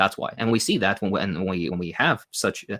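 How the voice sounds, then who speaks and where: A man with a non-native accent speaks at a fairly quick pace with ordinary pitch variation on a very clean recording with a silent background. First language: not English. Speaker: socialist commentator. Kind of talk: Q&A interview. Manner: fast; hesitant, many fillers.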